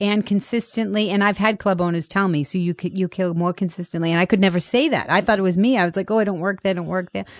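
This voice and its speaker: A woman with a Boston accent talks at a very fast pace, hardly pausing, her medium pitch held in fairly even intonation against a quiet background. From Boston, Massachusetts. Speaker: comedian. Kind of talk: casual chat.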